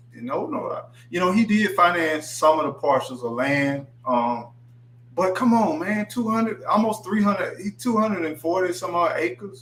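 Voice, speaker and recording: Noticeable background noise sits behind a man whose high voice makes very wide pitch swings at a moderate pace. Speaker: livestream host. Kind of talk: casual chat. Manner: slurs words; animated.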